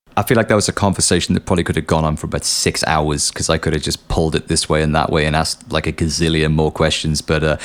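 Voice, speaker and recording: A man with a very deep, low voice talks at a very fast pace with hardly any pauses. Noticeable background noise runs underneath. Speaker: podcast host and musician. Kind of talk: podcast outro monologue. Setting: home studio. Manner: casual, animated; low and sleepy, slurry.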